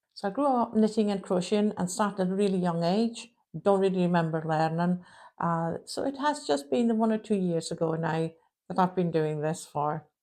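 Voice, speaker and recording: A woman's dark, mellow tone moves at a fairly quick pace with lively intonation. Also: medium pitch for a woman. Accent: Shetland. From Shetland Isles, Scotland. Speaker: crochet podcaster. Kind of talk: casual chat.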